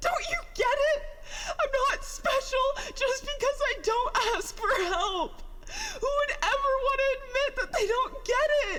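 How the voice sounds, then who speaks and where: A put-on character voice at an extremely high pitch moves at a fairly slow pace over clear background noise. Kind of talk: audio drama monologue. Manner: emotional, distressed, tearful.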